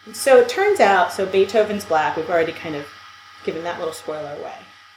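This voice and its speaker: Noticeable background noise and audible room echo surround the recording. A woman at medium pitch talks at a very fast pace. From US, New York City (Brooklyn). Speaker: podcast co-host. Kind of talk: casual chat.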